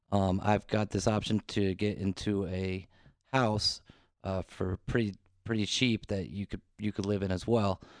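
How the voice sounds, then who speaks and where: An ordinary speaking voice, a man's, at a fairly low pitch and moderate pace, with fairly even intonation, dry, close sound with no echo and a quiet background. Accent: American. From US Mid-Atlantic, northern Virginia near DC. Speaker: restaurant worker. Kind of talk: casual chat.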